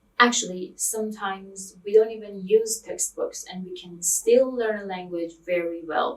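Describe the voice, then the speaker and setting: Speaking in a Persian accent, a woman uses medium pitch with ordinary pitch variation. Her pace is fairly slow. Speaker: language teacher. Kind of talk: tutorial. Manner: hesitant, many fillers.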